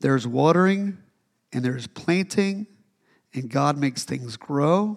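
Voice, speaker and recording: Using an ordinary speaking voice, a man talks at a fairly high pitch with lively intonation. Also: fairly slow pace. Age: 40s. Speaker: pastor. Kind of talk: sermon. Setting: church with congregation. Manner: casual, conversational with fillers.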